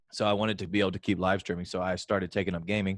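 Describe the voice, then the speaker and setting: In a dry, close sound with no echo, a man rattles along at a very fast pace, his fairly low pitch flat and monotone. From Alabama, US South. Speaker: singer-songwriter and live streamer. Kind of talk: interview.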